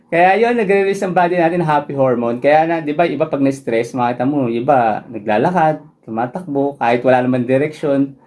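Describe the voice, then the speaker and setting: A man with a fairly high voice talks at a fairly quick pace with lively intonation. He leaves hardly any pauses. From Philippines. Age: 30s. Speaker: running vlogger. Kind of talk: Q&A vlog, running tips. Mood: friendly, relaxed. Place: home room.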